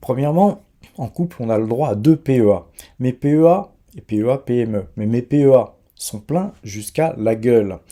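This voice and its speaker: This man has a dark, mellow tone and a medium pitch. He talks at a fairly slow pace with lively intonation. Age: 60s. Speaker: investment YouTuber. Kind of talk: finance commentary video. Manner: hesitant with many fillers.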